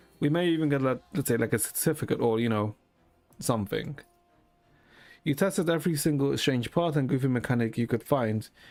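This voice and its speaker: A man at a medium pitch and a fairly quick pace, with ordinary pitch variation, very even loudness, long, frequent pauses and music in the background. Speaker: gaming streamer. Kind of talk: live stream commentary reading game text. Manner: casual, halting.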